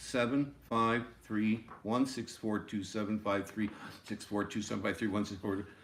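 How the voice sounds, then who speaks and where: The voice has a bright, sharp tone. Audible room echo surrounds it. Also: man. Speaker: music teacher. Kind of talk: lecture. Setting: classroom video.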